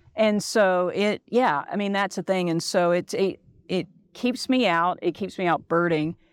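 In a very clean recording with a silent background, a woman with an American accent uses a normal speaking voice, speaking fairly slowly at a medium pitch with ordinary pitch variation. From Texas, Dallas. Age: 40s. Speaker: travel company owner. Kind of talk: casual chat.

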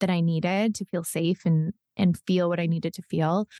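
In a Western Canadian accent, a woman speaks at a medium pitch and a moderate pace, with a dark, mellow tone and a dry, close sound with no echo. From northern British Columbia, Canada. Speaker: podcast host and trauma survivor. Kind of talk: interview.

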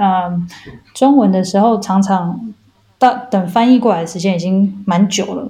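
A woman's plain, everyday voice at a medium pitch, with ordinary pitch variation and a moderate pace. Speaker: molecular biologist. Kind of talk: interview. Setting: remote call.

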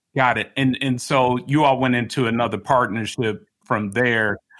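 A man with an American accent, medium pitch, fairly even intonation, and a plain, everyday voice. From Chicago. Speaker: podcast host. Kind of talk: interview.

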